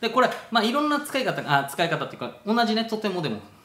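A man speaks with an Okinawan accent, and audible room echo can be heard. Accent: Okinawan-accented Japanese. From Okinawa, Japan. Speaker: travel vlogger. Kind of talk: casual talk to camera. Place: home room. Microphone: phone near.

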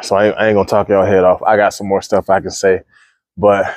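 Against a quiet background, the speaker races along very fast in a monotone, flat delivery with a dry sound and no echo. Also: man. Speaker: fitness coach vlogger. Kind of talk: casual gym vlog monologue. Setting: gym. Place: gym.

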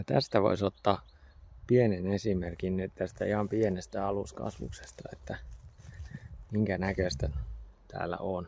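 A man's very deep, low voice carries a dark, mellow tone with vocal fry and ordinary pitch variation. He speaks at a fairly slow pace, and the sound is dry with no echo. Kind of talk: casual walkthrough commentary. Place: forest. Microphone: phone near.

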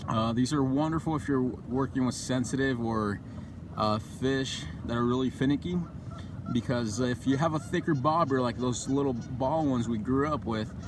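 A man talking at a fairly quick pace, ordinary pitch variation, a dry sound with no echo, and noticeable background noise. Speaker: fishing channel host. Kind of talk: tutorial. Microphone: phone near.

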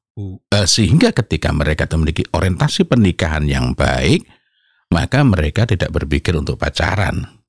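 Against a quiet background, a man with a very deep, low pitch speaks at a fairly quick pace, the sound dry with no echo. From East Java, Indonesia. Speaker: Islamic parenting speaker and author; speaker. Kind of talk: interview talk on parenting. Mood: calm, earnest. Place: studio. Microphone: studio mic.

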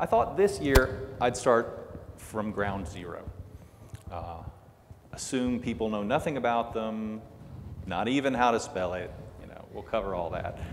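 The man keeps a moderate pace while light background noise is heard. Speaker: conference presenter. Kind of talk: lecture. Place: hall.

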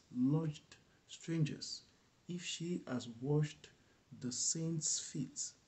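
A man's somewhat breathy voice at a very slow pace, with ordinary pitch variation. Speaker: bible reader. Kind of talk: scripture reading. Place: home room. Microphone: webcam.

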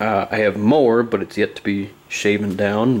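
In a monotone, flat delivery, a man speaks at a fairly low pitch. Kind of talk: casual vlog chat. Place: home room. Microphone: phone near.

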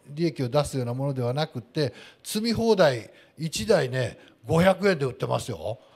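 Over a quiet background, a somewhat breathy man with fairly high pitch speaks with very wide pitch swings. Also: moderate pace. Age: 50s. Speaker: landscaping company president; guest. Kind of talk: panel talk at live event. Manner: formal. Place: hall. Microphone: handheld.

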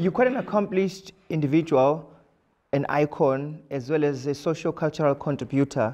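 A man's fairly high voice with a dark, mellow tone over a quiet background. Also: ordinary pitch variation, moderate pace. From South Africa. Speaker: social activist and interviewer; interviewer. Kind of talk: interview. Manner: formal. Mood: respectful, warm. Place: studio.

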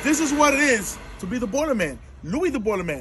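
Lively intonation marks this man's speech. He talks at a fairly quick pace over light background noise. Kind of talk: tutorial. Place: street. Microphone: camera far.

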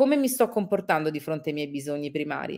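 With lively intonation, a woman speaks while the background stays quiet. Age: 40s. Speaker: travel reporter and radio-TV presenter; travel reporter, radio TV presenter. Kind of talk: interview. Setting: live video stream. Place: home room.

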